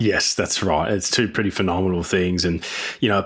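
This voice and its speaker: A man talks with an Australian accent. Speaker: podcast co-host. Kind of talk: casual chat.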